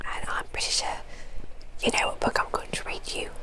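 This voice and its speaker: The voice is whispering in a soothing tone. Noticeable background noise sits behind it. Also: woman. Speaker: ASMR creator. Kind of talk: casual talk to camera, intro. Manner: whispered, soothing, soft.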